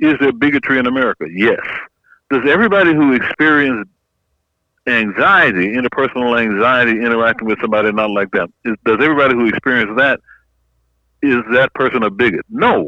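A man talks at a very fast pace, his pitch medium. His pitch variation is ordinary. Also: very even loudness. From Louisiana, Opelousas. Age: 60s. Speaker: psychology professor. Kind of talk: interview.

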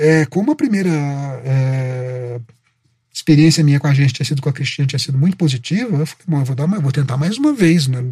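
A somewhat breathy man with a dark, mellow tone speaks fairly quickly at a fairly high pitch, with ordinary pitch variation. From Minas Gerais, Brazil (Itajubá). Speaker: advertising copywriter. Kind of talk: interview.

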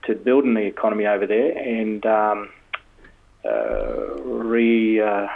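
A man speaks with an Australian accent. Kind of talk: casual interview chat.

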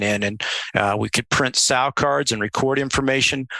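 This man speaks with a Midwestern American accent at a medium pitch. His tone is bright and sharp, with ordinary pitch variation. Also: dry, close sound with no echo. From US Midwest, central Illinois. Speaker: swine veterinarian. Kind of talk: interview.

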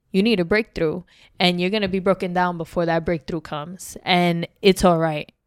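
Monotone, flat intonation in a New York accent comes through a dry, close sound with no echo on a very clean recording with a silent background. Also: woman, fairly low pitch for a woman, moderate pace. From New York City (Bronx). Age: 20s. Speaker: podcast guest sharing life story. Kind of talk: casual interview, personal testimony.

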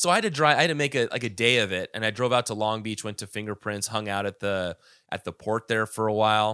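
Speaking very fast in a bright, sharp tone, a man with fairly low pitch is heard on a very clean recording with a silent background and a dry, close sound with no echo. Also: ordinary pitch variation. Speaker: podcast co-host. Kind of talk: casual chat.

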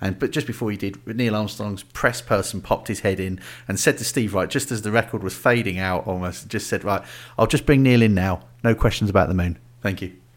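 A man with a fairly low voice and ordinary pitch variation. It is an unremarkable speaking voice on a very clean recording with a silent background. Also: fairly quick pace. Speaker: podcast host. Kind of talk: casual chat.

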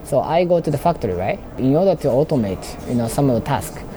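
A man with a Japanese accent speaks at a moderate pace and medium pitch, his intonation lively, over noticeable background noise. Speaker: robotics startup founder. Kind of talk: interview. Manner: halting, many fillers.

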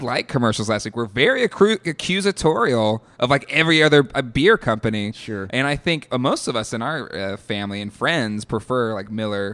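The recording is very clean with a silent background, and a man talks at medium pitch with an ordinary speaking voice. His intonation is lively and his pace fairly quick. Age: 30s. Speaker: podcast host. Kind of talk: casual chat; scripted narration.

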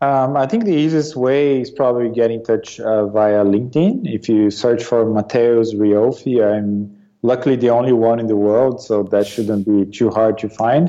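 A man with a Portuguese accent, medium pitch, a dark, mellow tone, ordinary pitch variation, a moderate pace and hardly any pauses. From Brazil, Sao Paulo region. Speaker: business executive. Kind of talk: interview.

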